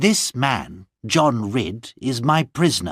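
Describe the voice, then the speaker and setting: In a put-on character voice, a man growls at a medium pitch, his pitch swinging very widely at a fairly slow pace. The sound is dry and close with no echo, and the recording is very clean over a silent background. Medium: read story. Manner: firm, persuasive.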